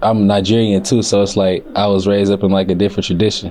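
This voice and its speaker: The voice is monotone and flat, heard over noticeable background noise. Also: man. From Murfreesboro, Tennessee, US South. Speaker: interviewee, up-and-coming artist. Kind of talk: interview. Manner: casual, laid-back.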